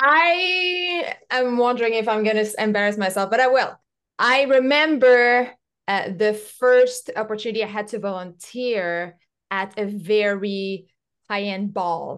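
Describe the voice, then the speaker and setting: Lively intonation marks a woman's fairly high-pitched voice with a French accent. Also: fairly slow pace. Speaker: podcast host. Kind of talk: interview conversation.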